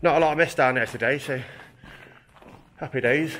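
Light background noise sits under a man talking at a fairly quick pace with fairly even intonation. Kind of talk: casual exploration commentary. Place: tunnel cave. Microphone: phone near.

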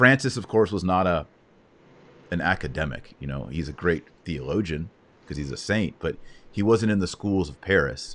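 With long, frequent pauses, a man speaks at a very deep, low pitch full of vocal fry. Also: lively intonation, moderate pace. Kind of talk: interview on a live stream. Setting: live online broadcast. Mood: warm, reverent. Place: home room. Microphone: studio mic.

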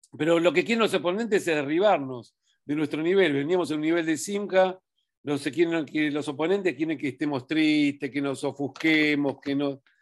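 Fairly slow speech from a man, set against a quiet background. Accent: Rioplatense. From Argentina. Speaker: religious teacher. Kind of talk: Torah study talk. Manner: halting. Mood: calm, warm, encouraging. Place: home room. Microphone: webcam.

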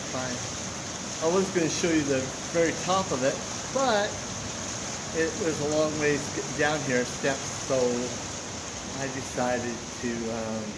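Pitch variation is ordinary, heard over loud background noise. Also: man. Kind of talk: casual vlog chat. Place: waterside. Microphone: phone near.

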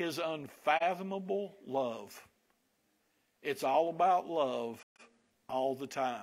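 A man with a Southern US accent talks at a very slow pace with lively intonation. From US Kentucky. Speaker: pastor; preacher. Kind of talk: sermon. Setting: church. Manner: casual, humorous. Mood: warm, earnest. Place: church. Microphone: lapel.

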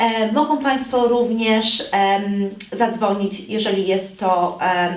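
Woman's voice with fairly even intonation, audible room echo and noticeable background noise. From Poland. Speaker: police officer. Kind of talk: public information appeal. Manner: hesitant, many fillers.

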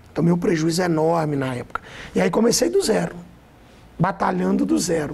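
This man's voice sits high. His pitch varies in a normal way. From Brazil, Minas Gerais (Caratinga region); Minas Gerais, Brazil. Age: 40s. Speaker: pastor. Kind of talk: testimony. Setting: studio. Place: studio. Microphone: lapel.

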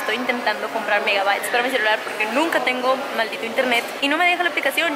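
A woman talks at a very fast pace. Loud background noise runs behind her. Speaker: vlogger. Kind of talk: casual vlog chat. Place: station. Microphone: phone near.

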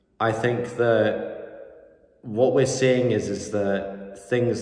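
A man's monotone, flat delivery with audible room echo. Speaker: sports commentator vlogger. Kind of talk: commentary. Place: home room. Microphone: phone near.

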